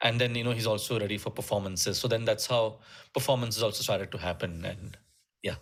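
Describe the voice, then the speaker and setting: On a very clean recording with a silent background, a man with a Keralan accent talks at a very fast pace, medium in pitch, with fairly even intonation. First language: Malayalam. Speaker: musician and music teacher. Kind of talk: interview conversation. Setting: podcast interview. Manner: halting, many fillers.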